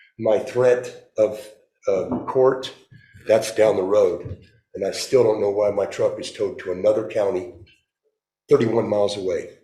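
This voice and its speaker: A man at a moderate pace, with long, frequent pauses and audible room echo. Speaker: city council member facing censure. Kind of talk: statement at council meeting. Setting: city council meeting. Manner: loud.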